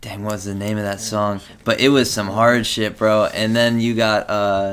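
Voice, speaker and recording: A man speaks at a moderate pace in a fairly low voice. His intonation stays flat and monotone. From rural area. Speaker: interviewer. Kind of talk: casual chat.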